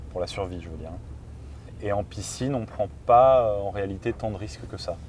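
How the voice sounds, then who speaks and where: Ordinary pitch variation marks an unremarkable speaking voice that keeps a moderate pace. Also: man, fairly low pitch for a man. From France. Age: 30s. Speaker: freediving champion. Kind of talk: interview.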